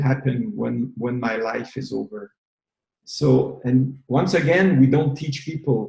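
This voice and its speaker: Speaking in a Quebec accent, a man has a somewhat breathy, dark, mellow tone at medium pitch. He goes at a very slow pace with ordinary pitch variation. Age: 60s. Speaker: retired massage therapist and movement leader. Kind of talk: interview. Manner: halting, repeats words.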